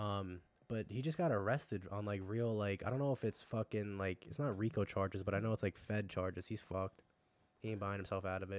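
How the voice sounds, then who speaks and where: On a very clean recording with a silent background, a man with a fairly low pitch talks at a very fast pace with fairly even intonation. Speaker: podcast guest. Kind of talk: casual chat.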